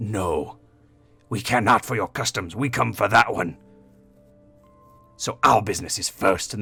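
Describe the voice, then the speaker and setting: In a put-on character voice, a man speaks raspily at a fairly low pitch and a moderate pace, with long, frequent pauses and faint music in the background. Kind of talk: archaic, formal. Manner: haughty, dismissive.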